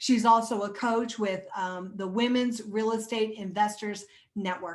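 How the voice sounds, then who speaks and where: This is a woman with an ordinary speaking voice, pitched fairly high. She keeps a moderate pace and fairly even intonation. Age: 60s. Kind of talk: interview introduction. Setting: recording room with guests joining on video call.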